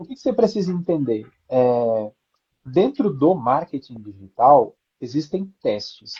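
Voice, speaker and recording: In a dark, mellow tone, a somewhat breathy man speaks at a fairly slow pace with very wide pitch swings and big swings in loudness. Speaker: branding and positioning specialist. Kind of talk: live stream interview.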